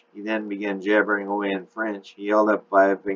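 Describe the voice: Someone reads aloud plainly. Nothing more than straightforward reading is heard.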